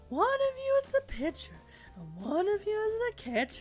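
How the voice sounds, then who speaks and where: A woman puts on a cheerful character voice at an extremely high pitch. She speaks fairly slowly over clear music in the background. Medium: actual play. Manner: cheerful, instructive.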